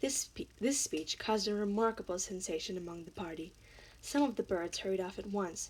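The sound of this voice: Ordinary pitch variation runs through the delivery. It is an unforced reading voice.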